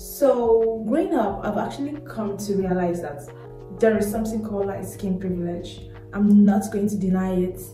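A woman speaks at a moderate pace with ordinary pitch variation. Audible room echo and faint music sit in the background. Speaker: vlogger. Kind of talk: casual vlog chat. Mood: reflective, earnest. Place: home room. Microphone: phone near.

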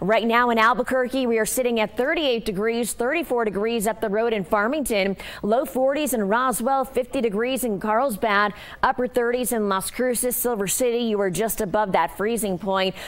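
Her loudness very even, a woman speaks at a moderate pace with a fairly high pitch and ordinary pitch variation. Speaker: TV meteorologist. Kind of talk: live TV weather forecast walking through radar and temperatures. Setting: TV studio in front of weather map. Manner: brisk, fluent forecaster patter with occasional filler 'uh'; upbeat, conversational tone addressing viewers directly. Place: studio.

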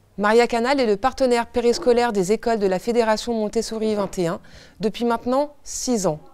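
A woman talks at a moderate pace and fairly high pitch with ordinary pitch variation, in a plain, everyday voice. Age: 30s. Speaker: director of an after-school childcare service. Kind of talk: scripted presentation. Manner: formal.

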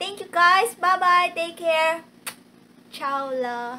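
With a Filipino accent, a woman uses a raised, projected voice and lively intonation. Light background noise can be heard. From Philippines. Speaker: travel vlogger. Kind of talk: channel trailer, casual talk to camera. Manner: upbeat, friendly. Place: home room.

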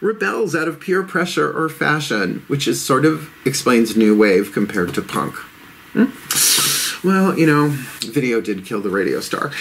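With light background noise, a man speaks at a moderate pace using very wide pitch swings. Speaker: tarot reader. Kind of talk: tarot reading monologue. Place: home room.

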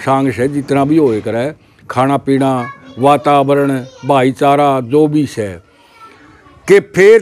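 The man delivers his lines at a very slow pace. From Haryana, Jind district; Haryana, India. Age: 70s. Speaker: village elder; interviewee. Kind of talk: interview. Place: open country. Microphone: lapel.

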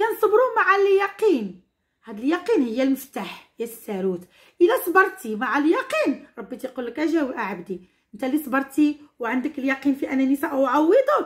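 A woman with a Moroccan accent, high in pitch, with very wide pitch swings and big swings in loudness against a quiet background. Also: moderate pace. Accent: Moroccan Darija. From Morocco. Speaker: teacher. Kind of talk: tutorial. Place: home room. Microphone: phone near.

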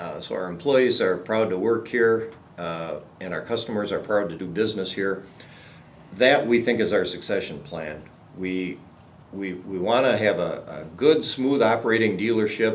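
The man has a normal speaking voice with a fairly low pitch. He goes at a moderate pace over light background noise. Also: ordinary pitch variation, big swings in loudness. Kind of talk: interview answer. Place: meeting room.

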